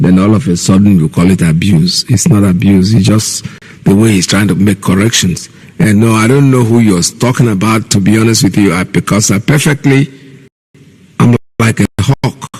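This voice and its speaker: Speaking with a Nigerian accent, a man uses a fairly low pitch and ordinary pitch variation, keeping a moderate pace and very even loudness. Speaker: radio host. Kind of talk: call-in radio talk.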